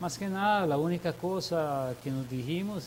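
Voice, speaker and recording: At a fairly slow pace, a man with a normal speaking voice talks with ordinary pitch variation. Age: 60s. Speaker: sculptor. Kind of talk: interview. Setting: TV studio.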